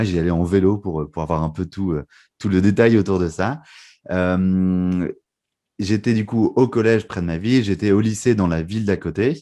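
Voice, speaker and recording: Against a quiet background, a man with a very deep, low pitch and a dark, mellow tone speaks at a moderate pace with ordinary pitch variation. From northern France (Lille). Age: 20s. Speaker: magician and mentalist. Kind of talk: podcast interview.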